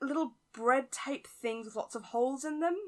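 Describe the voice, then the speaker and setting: Lively in intonation, a woman with a British accent speaks at a fairly slow pace and a high pitch. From UK. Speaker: podcast guest. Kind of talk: casual chat. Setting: remote call. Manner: laughs often.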